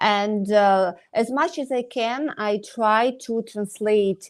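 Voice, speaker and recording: A woman with a Ukrainian accent. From Ukraine. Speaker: dentist. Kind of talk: interview. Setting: live online stream. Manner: halting, many hesitations.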